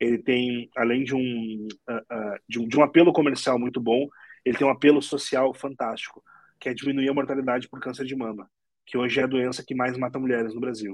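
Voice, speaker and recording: An ordinary speaking voice at a fairly quick pace, with fairly even intonation. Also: man, medium pitch for a man. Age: 30s. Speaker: entrepreneur. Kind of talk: interview.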